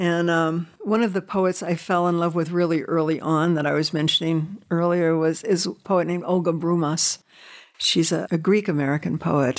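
A normal speaking voice at a moderate pace, with fairly even intonation and very even loudness. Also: woman, fairly low pitch for a woman. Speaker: poet and former judge. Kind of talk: poem reading.

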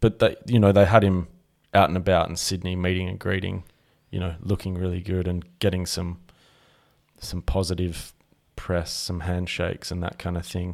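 With an Australian accent, a man speaks at a moderate pace in a very deep, low pitch, flat and monotone, with long, frequent pauses, in a very clean recording with a silent background. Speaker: podcast co-host. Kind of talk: casual chat.

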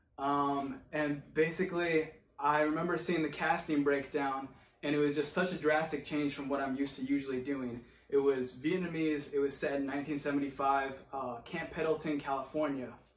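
Over audible room echo, a man with an American accent speaks at a moderate pace in a fairly high voice with monotone, flat intonation. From rural Oregon. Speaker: actor. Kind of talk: monologue.

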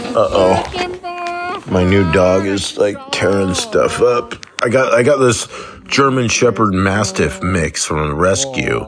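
A man talks very slowly while noticeable background noise sits underneath. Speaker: listener leaving a voicemail. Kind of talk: voicemail message. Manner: casual, rambling with fillers.

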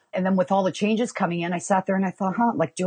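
A woman with a Canadian accent speaks at medium pitch in an energetic, somewhat breathy tone with ordinary pitch variation. The sound is dry and close, with no echo. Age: 40s. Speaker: mortgage broker. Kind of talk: interview.

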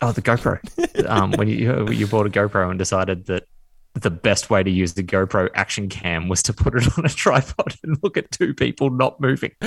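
In an Australian accent, a man with a fairly low voice and some vocal fry speaks with lively intonation, the sound dry and close with no echo. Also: moderate pace. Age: 30s. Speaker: former podcast co-host. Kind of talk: casual chat.

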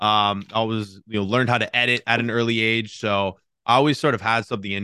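An ordinary speaking voice from a man, fairly low in pitch, with fairly even intonation at a fairly quick pace, dry and close with no echo, against a quiet background. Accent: American. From Cincinnati, Ohio. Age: 20s. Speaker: YouTuber. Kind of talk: interview.

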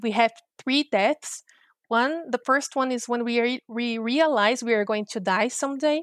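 In a Portuguese accent, a woman with a fairly high pitch talks at a moderate pace with ordinary pitch variation, in a very clean, dry, close recording with no echo and a silent background. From Brazil. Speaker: futures researcher and professor. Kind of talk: interview.

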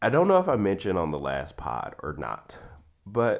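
A man talks at a moderate pace with vocal fry. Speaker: podcast host. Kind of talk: casual chat.

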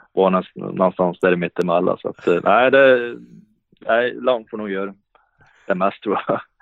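A man speaks at a fairly slow pace with a fairly low pitch. His pitch varies in an ordinary way, broken by long, frequent pauses. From Sweden, Värmland (Hagfors). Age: 30s. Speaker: professional ice hockey player. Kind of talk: podcast interview. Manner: halting, many repetitions and fillers.

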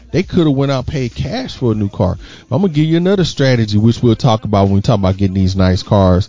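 A man with an American accent, medium pitch, lively intonation, and a very fast pace. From Houston, Texas. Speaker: financial educator, fraternity member. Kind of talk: casual chat. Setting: home, on mics with headsets.

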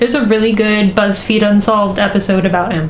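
A woman speaks in a fairly high voice. Noticeable background noise and audible room echo surround her. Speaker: podcast co-host. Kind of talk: casual storytelling chat.

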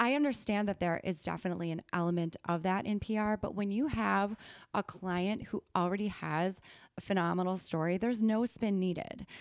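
Speaking with an American accent, a woman keeps a fairly quick pace, ordinary pitch variation and very even loudness. The recording is very clean with a silent background, and she has an unremarkable speaking voice. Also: medium pitch for a woman. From Wisconsin. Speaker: PR consultant. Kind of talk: podcast interview.

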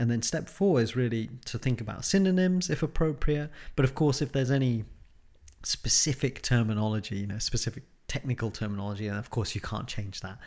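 A man's unremarkable speaking voice at medium pitch, fairly quick and with lively intonation, on a very clean recording with a silent background. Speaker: podcast host and academic supervisor. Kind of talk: educational podcast discussion. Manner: conversational, filler-heavy.

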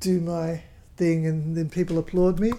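In an Australian accent, a woman speaks with fairly low pitch, a dark, mellow tone, monotone, flat intonation and a moderate pace. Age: 70s. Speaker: folk singer. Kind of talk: casual chat.

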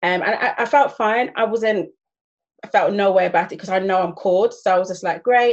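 A woman with a plain, everyday voice, medium pitch, ordinary pitch variation and a fairly quick pace. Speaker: church youth director. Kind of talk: panel discussion, casual chat.

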